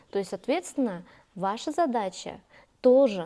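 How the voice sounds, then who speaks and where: The speaker has a Kazakh accent. The tone is dark and mellow. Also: woman. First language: Kazakh (speaking Russian). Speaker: youth leader and community activist. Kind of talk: interview. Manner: many hesitations and fillers.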